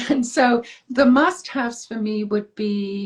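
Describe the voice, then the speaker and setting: A woman's lively intonation comes with a somewhat breathy quality. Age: 60s. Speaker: author. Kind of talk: interview.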